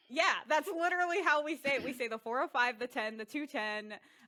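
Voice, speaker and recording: Very wide pitch swings run through this woman's speech. Her tone is bright and sharp. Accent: Californian. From California. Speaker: podcast host. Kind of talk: casual chat. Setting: video call.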